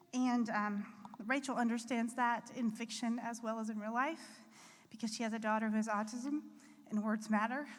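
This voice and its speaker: The speaker uses a monotone, flat intonation and keeps a moderate pace. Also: woman, fairly high pitch for a woman. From US Appalachia. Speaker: author accepting award on another's behalf. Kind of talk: acceptance speech at awards gala.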